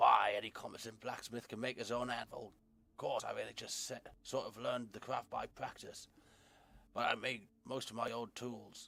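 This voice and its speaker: Using a put-on character voice, a man sounds raspy at a medium pitch and a moderate pace. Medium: game stream. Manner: friendly, folksy.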